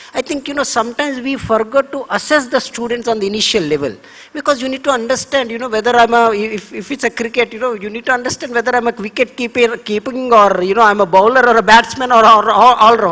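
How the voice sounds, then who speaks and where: Very fast speech with an Indian accent. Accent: Indian English, Telugu. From India, Andhra Pradesh. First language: Telugu. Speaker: government education official. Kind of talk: panel talk. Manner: halting, with repeated fillers.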